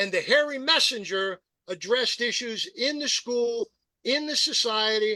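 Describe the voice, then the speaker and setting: With an American accent, a man speaks in a raised, projected voice at an extremely high pitch, using a bright, sharp tone and ordinary pitch variation at a fairly slow pace, in a dry, close sound with no echo. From US, rural Pennsylvania (Perry County). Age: 70s. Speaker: political activist and radio host. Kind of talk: podcast interview. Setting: live-streamed podcast. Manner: emphatic.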